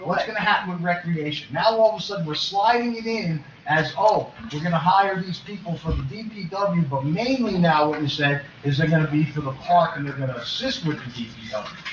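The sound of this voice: At a fairly quick pace with few pauses, a man speaks at a fairly high pitch with ordinary pitch variation, and audible room echo surrounds him.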